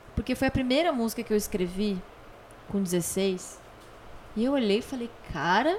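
A woman speaks at a moderate pace in a fairly high voice with lively intonation. She leaves long, frequent pauses. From Rio Grande do Sul, Brazil (Torres, Porto Alegre). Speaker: singer-songwriter and voice actress. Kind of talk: casual interview. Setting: host's home.

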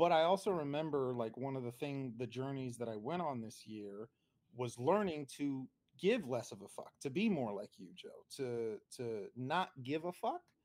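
At a moderate pace and medium pitch, a man speaks in a normal speaking voice, though his loudness swings widely. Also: lively intonation. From New Jersey. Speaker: podcast host. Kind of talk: casual chat. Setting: video call.

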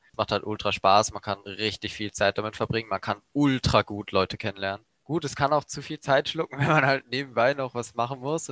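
An ordinary speaking voice runs at a fairly quick pace with hardly any pauses. The pitch variation is ordinary, and the sound is dry and close, with no echo. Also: man, medium pitch for a man. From Germany, Baden region. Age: 18. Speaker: first-year physics student. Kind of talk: casual chat. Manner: casual, slangy.

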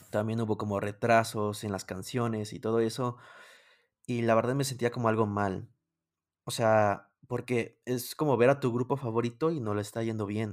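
A man speaks at a medium pitch with a Mexican accent and fairly even intonation. His pace is moderate, and the recording is very clean with a silent background. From Mexico. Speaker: music YouTuber. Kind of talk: casual interview chat.

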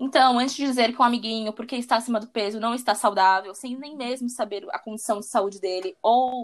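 This woman has a plain, everyday voice, fairly high in pitch with ordinary pitch variation. She talks at a fairly quick pace with hardly any pauses and big swings in loudness. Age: 20s. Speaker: personal trainer. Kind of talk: interview conversation.

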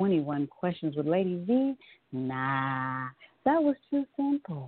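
This woman has a fairly low voice with very wide pitch swings. She talks at a fairly slow pace. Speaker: guest radio host. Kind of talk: casual interview. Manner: animated.

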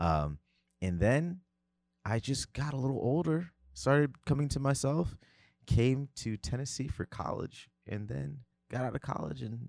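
A man with an American accent at medium pitch and moderate pace, very wide pitch swings, long, frequent pauses, a dry, close sound with no echo, and a very clean recording with a silent background. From New Jersey / New York. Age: 30s. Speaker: music producer and artist. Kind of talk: casual chat. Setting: studio.

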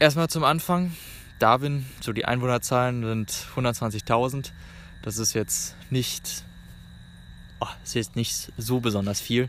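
Medium-pitched male voice at a very slow pace, with ordinary pitch variation and long, frequent pauses. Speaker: travel podcaster. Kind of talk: casual monologue. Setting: outdoors in a park. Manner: halting.

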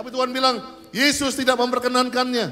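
Against noticeable background noise and audible room echo, a man uses a raised, projected voice at an extremely high pitch. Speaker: pastor. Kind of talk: sermon. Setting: church. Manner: animated.

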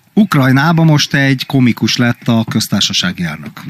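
Recorded with a dry, close sound and no echo, a man speaks at a fairly high pitch with ordinary pitch variation. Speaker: podcast co-host. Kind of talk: casual chat.

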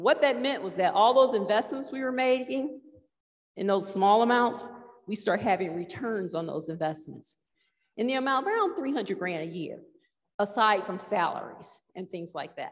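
In a plain, everyday voice, a woman with a fairly high pitch speaks at a moderate pace, her lively intonation paired with big swings in loudness. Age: 60s. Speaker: church member teaching on budgeting. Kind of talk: church talk.

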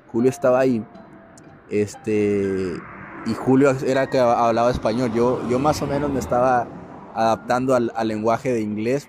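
A medium-pitched man with a Mexican accent at a moderate pace, music in the background. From Mexico. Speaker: podcast host, entrepreneur. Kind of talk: casual storytelling monologue. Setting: apartment after the gym. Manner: animated; fillers and repetitions.

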